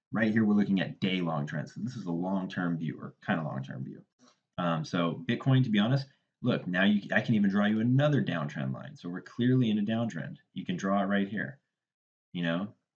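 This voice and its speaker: Lively intonation marks this man's fairly low-pitched voice. He talks at a fairly quick pace. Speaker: crypto trader, YouTuber. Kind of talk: tutorial. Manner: fast; casual, filler-heavy.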